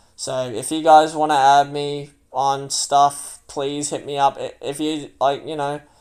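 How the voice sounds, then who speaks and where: Someone with an Australian accent is heard on a very clean recording against a silent background. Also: man. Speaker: gamer and livestreamer. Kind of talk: livestream monologue. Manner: loud.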